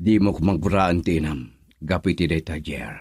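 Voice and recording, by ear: A man puts on a character voice, low-pitched and slightly mellow with a husky, rough edge and lively intonation, in a very clean recording with a silent background. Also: moderate pace.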